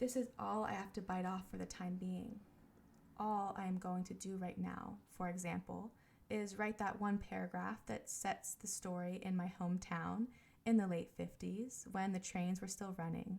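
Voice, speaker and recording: Soft-spoken and somewhat breathy, a woman talks at a moderate pace with a medium pitch and fairly even intonation. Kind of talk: audiobook-style reading of a book excerpt.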